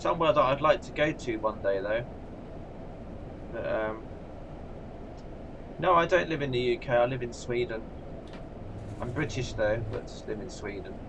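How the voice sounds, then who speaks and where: Amid noticeable background noise, a man with an English accent and medium pitch speaks at a moderate pace, with ordinary pitch variation and long, frequent pauses. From England. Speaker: gaming streamer. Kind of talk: live stream commentary. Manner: casual, chatty.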